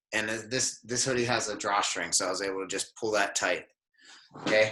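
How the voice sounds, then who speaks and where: This man has an ordinary speaking voice. He talks at a fairly quick pace with fairly even intonation. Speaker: jiu-jitsu instructor. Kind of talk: online class instruction. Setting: video call.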